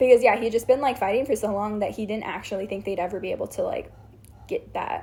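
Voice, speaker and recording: Somewhat breathy and very fast, a woman speaks with a fairly high pitch, a dark, mellow tone and ordinary pitch variation. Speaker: show explainer recapping a series. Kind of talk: casual chat.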